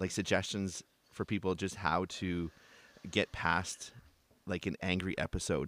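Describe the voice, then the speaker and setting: A man with a Canadian accent and a very deep, low voice, at a fairly slow pace. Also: very clean recording, silent background. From Canada. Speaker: podcast host, father. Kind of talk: casual interview chat.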